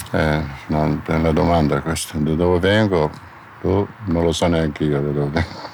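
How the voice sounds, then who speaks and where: Over noticeable background noise, a man speaks at a very deep, low pitch with very even loudness and fairly even intonation. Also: moderate pace. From Middle East, Palestinian. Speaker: former convicted attacker. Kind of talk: interview.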